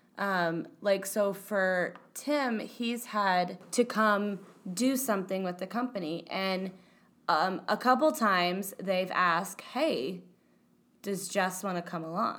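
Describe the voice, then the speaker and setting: The speaker is a woman with a medium pitch. She talks very slowly. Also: ordinary pitch variation. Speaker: podcast co-host. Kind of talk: casual chat.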